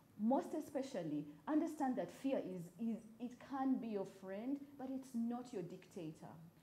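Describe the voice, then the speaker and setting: Over noticeable background noise, a woman with a high pitch speaks with very wide pitch swings. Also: moderate pace. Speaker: writer and storyteller. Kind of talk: talk show interview. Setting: live broadcast and Twitter space.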